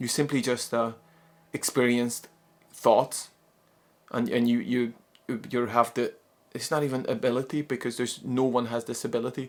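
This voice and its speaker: A man's medium-pitched voice in a monotone, flat intonation, at a moderate pace with long, frequent pauses. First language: not English. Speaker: psychologist and non-duality teacher. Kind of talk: spoken talk on spirituality. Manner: halting, many repeated words.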